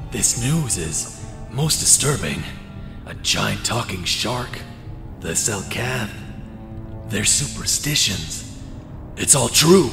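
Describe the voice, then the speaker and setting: A man's put-on character voice at a medium pitch and a very slow pace, with loud background noise. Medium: machinima. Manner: formal, proper.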